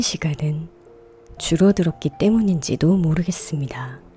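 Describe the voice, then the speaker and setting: A woman's calm tone, very slow pace, and lively intonation, with music in the background. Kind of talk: ASMR radio reading, sleep and healing narration. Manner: soft, calm, slow.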